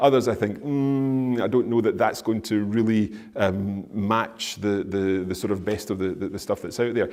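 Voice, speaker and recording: The speaker has a Scottish accent and talks at a fairly quick pace with ordinary pitch variation. Room echo is audible. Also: man. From Scotland. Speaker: language teacher and podcaster. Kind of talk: conference Q&A answer. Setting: conference stage with audience. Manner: halting, many repeated words. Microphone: echoey room.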